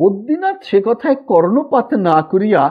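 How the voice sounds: This man's voice sits high for a man and carries a slightly husky edge. He speaks at a moderate pace with big pitch swings.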